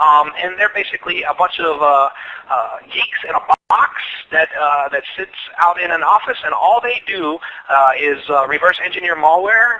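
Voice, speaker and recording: With an American accent, a man talks at a moderate pace in a high pitch, with ordinary pitch variation and noticeable background noise. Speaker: security engineer presenting at webinar. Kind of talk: webinar presentation and Q&A. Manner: halting, many fillers and repetitions.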